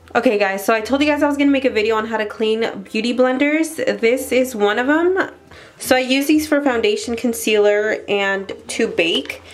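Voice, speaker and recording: Against noticeable background noise, a woman speaks with a high pitch. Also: ordinary pitch variation, moderate pace. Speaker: beauty vlogger, freelance makeup artist. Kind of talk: tutorial. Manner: casual.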